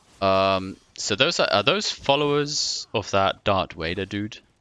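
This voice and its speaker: A man with a non-native accent speaks in a fairly low pitch. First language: not English. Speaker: game streamer. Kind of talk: casual gameplay commentary. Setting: live stream. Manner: hesitant, many fillers.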